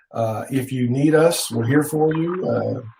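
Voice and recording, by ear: Using vocal fry, a man speaks at medium pitch with a dark, mellow tone and ordinary pitch variation. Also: fairly slow pace.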